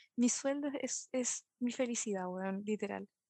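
A woman speaks in a Chilean accent with ordinary pitch variation. The sound is dry and close, without echo. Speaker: podcast host. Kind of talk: casual chat.

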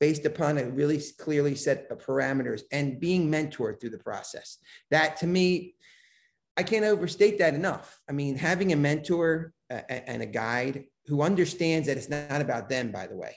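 Over a quiet background, a man with a plain, everyday voice speaks at a moderate pace and fairly high pitch. Pitch variation is ordinary, with big swings in loudness. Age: 50s. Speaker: business coach and mentor. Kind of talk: podcast interview.

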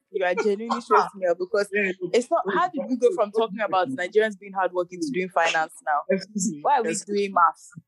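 Music plays behind a woman whose dry, close sound has no echo as she speaks fairly quickly at a medium pitch with ordinary pitch variation. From Nigeria (Igbo). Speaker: podcast co-host. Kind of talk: casual chat. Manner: animated, laughing.

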